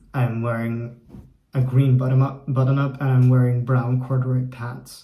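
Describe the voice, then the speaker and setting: Dark, mellow, somewhat breathy voice with an American accent, monotone and flat, at a moderate pace in audible room echo. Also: man. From Poland and the Netherlands. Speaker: YouTuber and Norse studies student. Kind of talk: casual vlog monologue. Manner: conversational with fillers.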